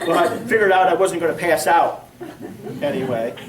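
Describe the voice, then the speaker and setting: A man's lively intonation at a moderate pace, with audible room echo and noticeable background noise. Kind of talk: personal testimony talk. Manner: projected church voice; casual, with many fillers.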